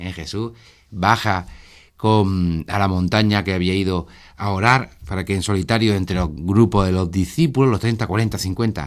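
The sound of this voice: Recorded very cleanly against a silent background, a man speaks at a low pitch. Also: ordinary pitch variation, moderate pace.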